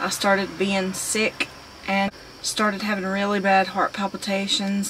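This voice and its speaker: A woman speaks in a rural Southern US accent at a fairly slow pace. Her intonation is monotone and flat, with light background noise. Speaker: vlogger. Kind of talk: casual vlog talk to camera. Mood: calm, cheerful.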